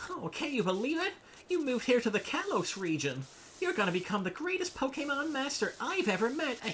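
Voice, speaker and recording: Using a cartoonish character voice, a man speaks at an extremely high pitch with very wide pitch swings, an enthusiastic tone and a fairly quick pace over clear background noise. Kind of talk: anime dub. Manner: over-the-top, enthusiastic, like anime voice acting.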